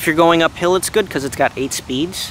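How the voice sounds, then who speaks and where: Light background noise accompanies a man whose voice sounds dry, with no echo. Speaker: vlogger reviewing a bike. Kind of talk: casual vlog chat. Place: forest. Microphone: phone near.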